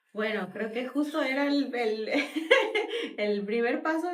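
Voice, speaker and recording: Lively in intonation, a woman speaks at a fairly slow pace. Audible room echo surrounds her voice. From Mexico. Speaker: podcast guest, immigrant mother. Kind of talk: interview conversation.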